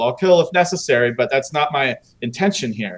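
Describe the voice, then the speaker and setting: The speaker has an American accent. The intonation is lively. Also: man. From Northern California. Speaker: military veteran and activist. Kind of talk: casual chat. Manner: loud; animated.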